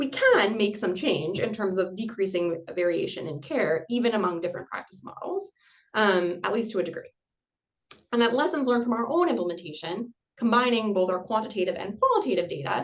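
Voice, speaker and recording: Her pitch is fairly high and her intonation lively. The woman moves at a fairly quick pace. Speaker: obstetrician and researcher. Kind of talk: lecture. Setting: video call. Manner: fast.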